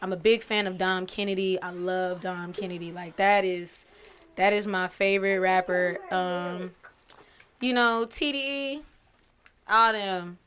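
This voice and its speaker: With an American accent, a woman speaks in an ordinary speaking voice at a fairly slow pace, her medium pitch showing ordinary variation. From Pasadena, California, then Dallas area, Texas. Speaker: musician. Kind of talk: casual chat.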